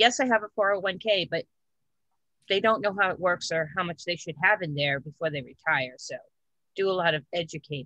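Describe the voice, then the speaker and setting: At a moderate pace, the speaker's bright, sharp tone carries lively intonation, with a dry sound with no echo and a quiet background. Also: woman. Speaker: insurance agent. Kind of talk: casual chat. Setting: video call. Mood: friendly, mildly excited. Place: home room. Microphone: video call.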